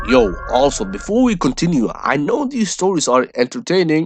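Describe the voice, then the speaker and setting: A man speaking at a fairly slow pace, with music in the background. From Sweden, Somali diaspora. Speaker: YouTuber. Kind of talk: vlog commentary. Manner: animated.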